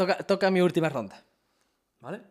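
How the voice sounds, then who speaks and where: Here a man talks at a high pitch. It is a very clean recording with a silent background. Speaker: streamer hosting a live interview. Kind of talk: casual chat on a livestream.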